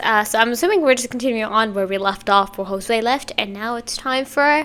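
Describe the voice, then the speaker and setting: At a moderate pace, a woman with a fairly high pitch speaks in a bright, sharp, animated tone with lively intonation. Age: 20s. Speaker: reaction youtuber. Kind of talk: casual reaction commentary.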